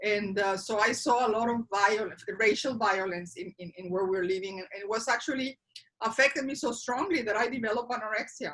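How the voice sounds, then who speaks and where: With a Spanish accent, a woman talks at a fairly high pitch and fairly quick pace, showing ordinary pitch variation and big swings in loudness. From Mexico. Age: 50s. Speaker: interviewee sharing life story. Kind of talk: interview. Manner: halting.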